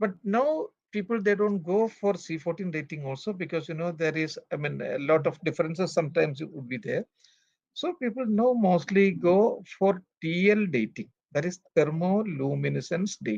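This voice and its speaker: A man's high-pitched voice in a Keralan accent, lively in intonation, at a moderate pace. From Kerala, India. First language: Malayalam. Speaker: archaeologist. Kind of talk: interview. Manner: halting.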